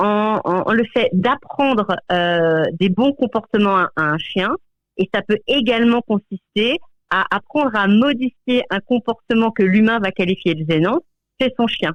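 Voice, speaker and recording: Loudness stays very even throughout. The pace is fairly slow, yet the intonation is lively. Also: woman. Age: 40s. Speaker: dog trainer. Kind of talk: radio interview. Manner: halting, many repetitions and fillers.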